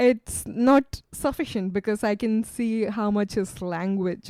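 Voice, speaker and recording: With an Indian accent, a woman speaks in a dark, mellow tone with ordinary pitch variation, the sound dry and close with no echo. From India, Western Ghats highlands. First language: Kannada. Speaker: PhD researcher. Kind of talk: podcast interview.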